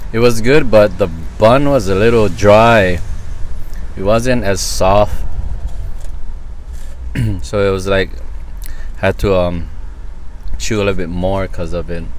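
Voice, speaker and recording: The sound is dry with no echo, carrying light background noise, ordinary pitch variation and long, frequent pauses. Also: man. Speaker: food reviewer. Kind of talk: casual food review commentary. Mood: enthusiastic.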